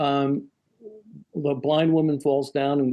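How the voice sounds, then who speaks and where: A man's medium-pitched voice, monotone with flat intonation. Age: 70s. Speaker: actor. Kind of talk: casual interview. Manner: halting, repeats words.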